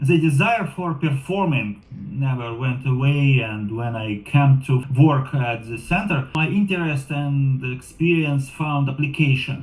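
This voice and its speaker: With a non-native accent, a man speaks fairly slowly with hardly any pauses. His voice is fairly high, with ordinary pitch variation. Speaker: driver and program assistant. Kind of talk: interview monologue. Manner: halting.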